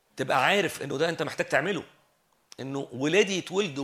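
A man's fairly high voice at a moderate pace, on a very clean recording with a silent background. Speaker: preacher. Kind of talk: sermon.

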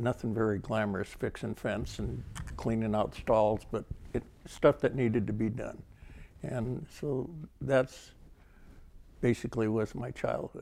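A man with an American accent and a dark, mellow tone, fairly slow in pace, with ordinary pitch variation and long, frequent pauses. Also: medium pitch for a man. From Livermore, California. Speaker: rodeo volunteer and former cowboy. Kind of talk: oral history interview.

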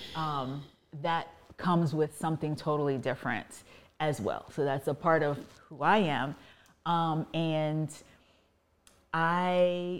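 In an American accent, a woman speaks at a fairly slow pace with a very deep, low pitch. The recording is very clean with a silent background. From US, Virginia (Fairfax County). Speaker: married guest, mother. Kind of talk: casual interview conversation.

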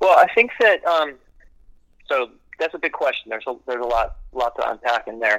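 Fairly quick yet with long, frequent pauses, a man speaks with an American accent in a dry, close sound with no echo. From Maryland, Silver Spring near DC. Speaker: musician. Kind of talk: casual chat.

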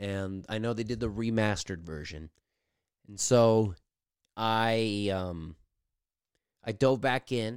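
A man's animated, medium-pitched voice on a very clean recording with a silent background. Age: 30s. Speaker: solo gaming podcast host. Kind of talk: casual solo monologue. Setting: home basement. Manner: rambling, animated.

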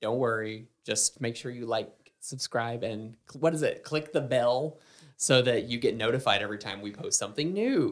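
A man speaks at medium pitch. His tone is playful. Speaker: podcast co-host and sound operator. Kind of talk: casual chat. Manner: joking, playful.

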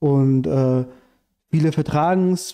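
The man's voice has a dark, mellow tone. His pitch sits fairly high. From Iran, raised in Germany from childhood. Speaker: anarchist activist and writer. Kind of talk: casual interview chat.

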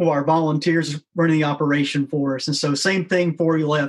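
A man with a Tennessee accent, fairly high in pitch, at a moderate pace with monotone, flat intonation. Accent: Southern US (Tennessee). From US South, rural West Tennessee. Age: 40s. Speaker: founder of an outdoor nonprofit for special forces. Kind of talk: casual chat.

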